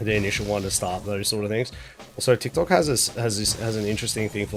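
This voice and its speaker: Over music in the background, a man speaks with fairly low pitch and fairly even intonation. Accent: Australian. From Australia. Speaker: video game streamer. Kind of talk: casual chat. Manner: halting, with many fillers and restarts.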